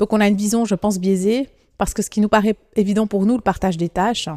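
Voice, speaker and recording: On a very clean recording with a silent background, a voice with a dark, mellow tone moves at a fairly quick pace with fairly even intonation and a dry, close sound with no echo. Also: woman. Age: 30s. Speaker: politician and lawyer. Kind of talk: interview.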